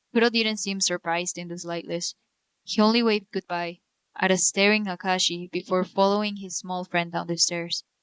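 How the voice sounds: Fairly even intonation from a natural reading voice, quiet background behind it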